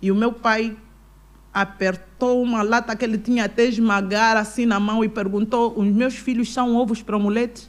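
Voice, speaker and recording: A woman's fairly high voice at a moderate pace, in a monotone, flat intonation. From Angola, Kwanza Sul; Angola. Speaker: businesswoman and pastor; pastor. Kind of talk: interview. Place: studio. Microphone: studio mic.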